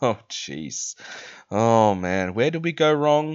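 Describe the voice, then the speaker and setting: Someone speaks with an Australian accent at a very slow pace. The pitch swings very widely. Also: man. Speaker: fantasy football content creator. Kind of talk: casual commentary video.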